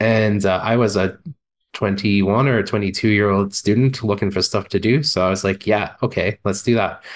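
A man speaks in a normal speaking voice, fairly low in pitch, at a moderate pace. His intonation stays fairly even and his loudness very even. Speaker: podcast producer and co-host. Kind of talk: casual chat.

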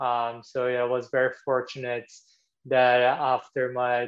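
This man speaks with a Portuguese accent. His pitch sits in the medium range. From Brazil. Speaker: former tennis tour supervisor, tech company employee. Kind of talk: casual interview.

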